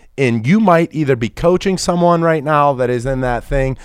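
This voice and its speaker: A man talks at a moderate pace with an American accent and lively intonation. His is a plain, everyday voice. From Pittsburgh, US. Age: 30s. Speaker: insurance business executive. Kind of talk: casual interview.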